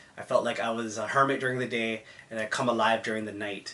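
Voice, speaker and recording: The man speaks in a Toronto accent at a fairly quick pace. His medium-pitched delivery is monotone and flat. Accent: Toronto Canadian English. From Canada, Mississauga near Toronto. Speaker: vlogger. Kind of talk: personal story. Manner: casual.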